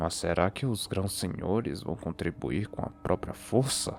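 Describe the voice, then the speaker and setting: A man puts on a character voice, guttural and very deep in pitch. He speaks at a moderate pace over clear background noise. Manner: grunting.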